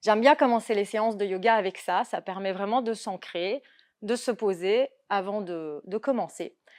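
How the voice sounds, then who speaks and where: A woman speaks very slowly in a fairly high voice with ordinary pitch variation, on a very clean recording with a silent background. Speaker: yoga instructor. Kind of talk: talk.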